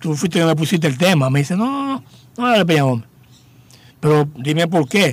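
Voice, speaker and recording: A man speaks with a high pitch. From Dominican Republic, Higüey. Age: 60s. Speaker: journalist and PR agency founder. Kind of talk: interview, life story.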